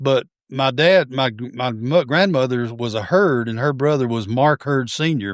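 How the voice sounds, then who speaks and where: A man with a Southern US accent talks at a moderate pace with medium pitch and ordinary pitch variation. The recording is very clean, with a silent background. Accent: Southern US (Georgia). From US South, Georgia (Forsyth County). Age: 70s. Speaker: retired teacher, coach and collector. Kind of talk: casual interview chat. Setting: home baseball museum.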